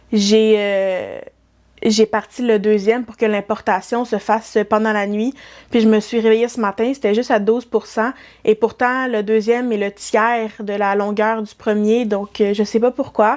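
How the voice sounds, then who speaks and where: The speaker has a Quebec accent and talks at a fairly slow pace with monotone, flat intonation. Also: woman, fairly high pitch for a woman. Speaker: knitting vlogger. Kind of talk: casual vlog talk. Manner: hesitant, many fillers.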